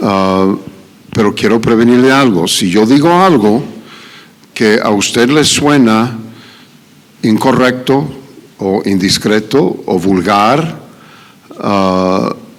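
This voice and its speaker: A man speaks very slowly at a medium pitch with ordinary variation. Room echo is audible, along with noticeable background noise. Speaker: pastor. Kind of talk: sermon. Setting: church. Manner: halting.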